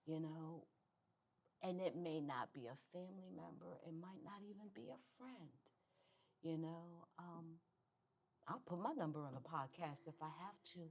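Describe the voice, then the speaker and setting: A woman's fairly low voice at a moderate pace, lively in intonation, with long, frequent pauses. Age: 60s. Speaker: guest sharing recovery testimony. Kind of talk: testimony.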